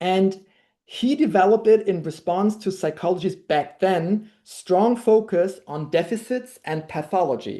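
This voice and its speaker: A woman with a German accent speaks in a dark, mellow tone at a fairly low pitch, with ordinary pitch variation and a quiet background. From Germany. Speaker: language workshop leader. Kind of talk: workshop lecture. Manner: halting, many fillers.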